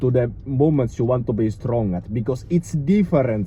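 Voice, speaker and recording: A man's medium-pitched voice is somewhat breathy and dark and mellow in tone, with ordinary pitch variation. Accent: non-native. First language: not English. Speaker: fitness YouTuber, strength coach. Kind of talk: casual tutorial. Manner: halting, many fillers.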